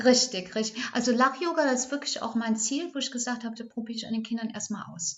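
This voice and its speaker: A woman speaks very fast in a fairly high voice. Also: ordinary pitch variation. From Ahrtal, Rhineland-Palatinate, Germany. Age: 60s. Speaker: kindergarten teacher. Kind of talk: interview. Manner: halting.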